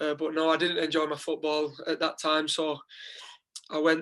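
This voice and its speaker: Moderate pace with a strong Lancashire accent. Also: man. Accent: strong Wigan. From northern England, Wigan. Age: 20s. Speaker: footballer. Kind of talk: podcast interview.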